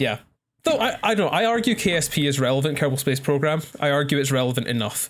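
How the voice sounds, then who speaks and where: This man talks at a very fast pace with a Scottish accent and a fairly high pitch. His intonation is lively while his loudness stays very even. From Scotland. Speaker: podcast co-host, astrophysics graduate. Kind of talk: casual chat.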